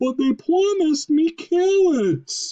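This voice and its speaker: A squeaky put-on character voice at an extremely high pitch comes at a fairly slow pace. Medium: read story.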